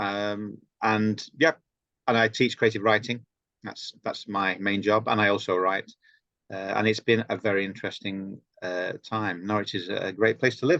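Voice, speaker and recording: In a dry, close recording with no echo, a man with a fairly low pitch and a bright, sharp tone talks at a moderate pace with fairly even intonation. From northern England, Sheffield/Derbyshire. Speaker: writer and creative writing lecturer. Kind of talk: casual chat.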